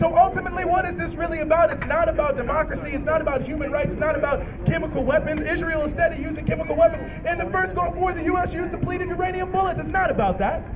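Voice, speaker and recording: With crowd noise behind him, a man with an extremely high pitch speaks in an angry tone at a very fast pace. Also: ordinary pitch variation. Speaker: rally speaker. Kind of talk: rally speech. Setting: outdoors at a protest rally. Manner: impassioned, angry, declamatory; rhetorical, repetitive, emphatic. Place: street.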